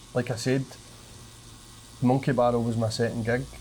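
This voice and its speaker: At a moderate pace and medium pitch, a man is speaking. His intonation stays monotone and flat. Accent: strong Glaswegian. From Scotland, Glasgow. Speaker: comedian. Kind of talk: casual chat.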